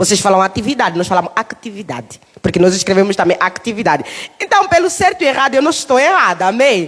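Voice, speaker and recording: Over noticeable background noise, a woman with an Angolan accent speaks at a very fast pace in a medium pitch, with very wide pitch swings and very even loudness. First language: Umbundu (speaking Portuguese). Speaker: preacher. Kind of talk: sermon. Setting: church.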